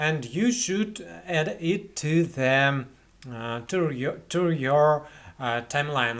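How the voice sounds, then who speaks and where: Against a quiet background, a man with a fairly high voice speaks at a very slow pace. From Russia. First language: Russian. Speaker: video editing tutorial creator. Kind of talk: tutorial. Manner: halting, many fillers and repetitions. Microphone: webcam.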